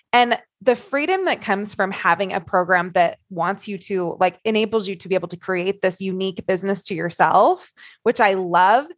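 The speaker has a plain, everyday voice. Pitch varies in an ordinary way while loudness swings widely. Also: woman, medium pitch for a woman, moderate pace. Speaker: coach. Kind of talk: group discussion.

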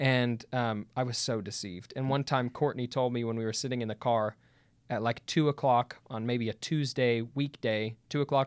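At a moderate pace, a man with an unremarkable speaking voice of medium pitch talks with fairly even intonation, in a very clean recording with a silent background and a dry, close sound with no echo. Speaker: continuationist debate partner. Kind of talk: casual debate chat.

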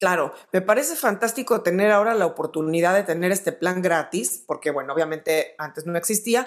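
An unremarkable speaking voice from a woman, medium in pitch, with lively intonation and hardly any pauses. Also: fairly quick pace. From Mexico. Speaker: podcast host interviewing music industry figures. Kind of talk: interview.

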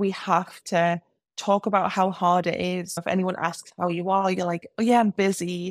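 The voice is delivered at a moderate pace with monotone, flat intonation and a dry, close sound with no echo. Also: woman, medium pitch for a woman. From England. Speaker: business coach for hairstylists. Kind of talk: casual interview chat.

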